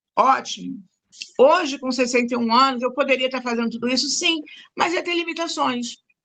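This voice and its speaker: Projecting her voice, a woman speaks at a moderate pace with a high pitch, a bright, sharp tone and ordinary pitch variation. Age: 60s. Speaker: retired teacher. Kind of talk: casual chat.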